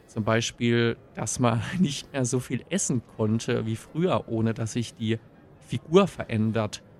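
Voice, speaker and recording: Speaking very slowly, a man shows ordinary pitch variation. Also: medium pitch for a man. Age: 20s. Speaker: podcast host. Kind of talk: solo podcast monologue.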